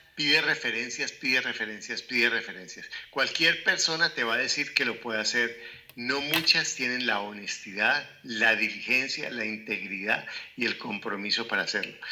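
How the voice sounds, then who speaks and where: A man with a medium-pitched voice and ordinary pitch variation talks at a moderate pace amid noticeable background noise. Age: 60s. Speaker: real estate investment educator. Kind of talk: interview conversation.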